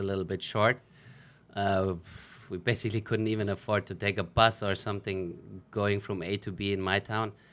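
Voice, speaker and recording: A man speaks with a German accent. His pitch sits fairly low. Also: very clean recording, silent background. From Germany. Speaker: professional footballer. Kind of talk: interview.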